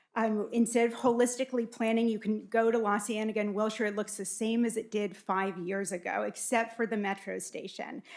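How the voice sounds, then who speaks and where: This woman has a Californian accent and a fairly high pitch. Her intonation is monotone and flat, and her pace is fairly quick. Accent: General American (Californian). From US West Coast, Los Angeles area. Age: 40s. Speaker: city council candidate. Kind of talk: candidate forum opening statement. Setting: public forum with audience in a room.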